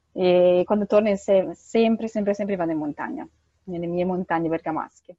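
In a normal speaking voice, a woman talks at a fairly quick pace, her medium pitch moving with ordinary variation. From northern Italy, Bergamo. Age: 30s. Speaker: humanitarian aid worker. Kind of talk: interview.

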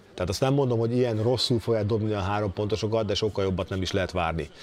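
Fairly even intonation from a man, with noticeable background noise behind it. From Hungary. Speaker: former NBA player, basketball pundit. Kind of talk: casual chat.

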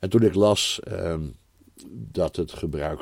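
There is vocal fry in this man's voice, with ordinary pitch variation. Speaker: Bible teacher. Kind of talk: improvised personal testimony. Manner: halting.

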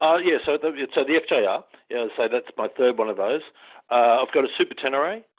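At a fairly quick pace, a man talks in an Australian accent. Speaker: long-distance motorcyclist. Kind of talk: interview. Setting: phone call.

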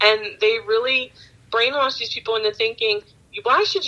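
At a moderate pace, a woman speaks in an ordinary speaking voice with an American accent. Her pitch is fairly high and varies in an ordinary way. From Baltimore, Maryland. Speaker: fraud investigator and podcaster. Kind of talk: casual interview chat. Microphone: dropped out, switched off speakerphone.

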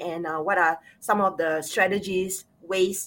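Fairly even in intonation, a woman speaks in a Singaporean accent. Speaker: clinical sexologist, show host. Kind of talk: casual chat. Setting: video call.

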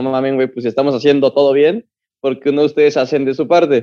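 A man speaks in a dark, mellow tone. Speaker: football podcast co-host. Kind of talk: casual chat.

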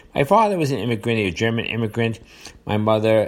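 The speaker talks at a fairly quick pace in a New York accent. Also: man. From New York area, US. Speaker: podcast host. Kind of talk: solo monologue commentary on current events. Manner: hesitant, filler-heavy, repeats words.

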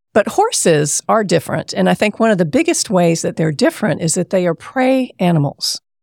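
A woman with an American accent speaks in a normal speaking voice at medium pitch, with lively intonation and very even loudness. She hardly pauses, and the sound is dry and close with no echo. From US South, South Carolina. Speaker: therapist and horse farm owner. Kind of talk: interview.

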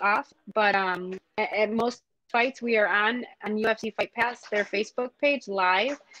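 Fairly high-pitched and fairly even in intonation, a woman's voice comes through with a dry, close sound with no echo and music in the background. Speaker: professional fighter. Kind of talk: casual interview.

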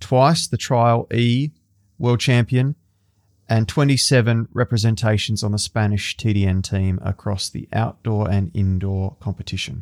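Speaking in an Australian accent at a fairly slow pace, a man uses a medium pitch with ordinary pitch variation on a very clean recording with a silent background and a dry, close sound with no echo. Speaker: podcast host. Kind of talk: scripted intro; interview.

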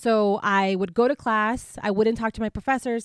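Recorded dry and close with no echo against a silent background, a woman with an American accent and an unremarkable speaking voice talks at a moderate pace in a fairly high pitch with fairly even intonation. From US-Mexico border, Imperial Valley, California. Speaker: scholar, researcher. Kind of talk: casual interview.

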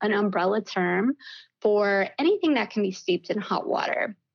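A woman with an American accent speaks in an unremarkable speaking voice, pitched fairly high, with ordinary pitch variation. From US South, Mississippi. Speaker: tea company owner. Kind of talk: interview podcast.

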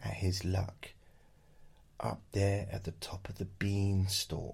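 A man speaks in a playful tone that is somewhat breathy. His pitch is fairly low. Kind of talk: bedtime story reading aloud. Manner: playful, jokey, with sarcastic asides.

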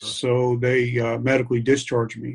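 A man with an American accent talks at a medium pitch and a fairly slow pace. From New York City area. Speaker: military veteran. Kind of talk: interview. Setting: at home, kitchen table.

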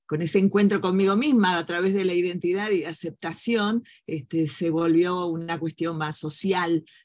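This woman has an ordinary speaking voice. Her pitch is fairly low, with ordinary pitch variation. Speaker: human rights lawyer and journalist. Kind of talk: interview conversation.

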